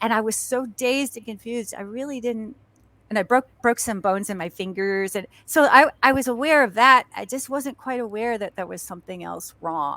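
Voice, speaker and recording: A woman with a fairly high pitch and bright, sharp tone talks at a moderate pace, with ordinary pitch variation and big swings in loudness. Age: 60s. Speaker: actress and stuntwoman. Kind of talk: casual chat. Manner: halting.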